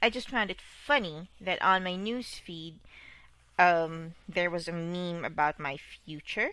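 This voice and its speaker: A woman's bright, sharp tone at a very slow pace, with ordinary pitch variation. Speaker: podcaster, aspiring medical student. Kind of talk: personal monologue podcast. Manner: clear diction.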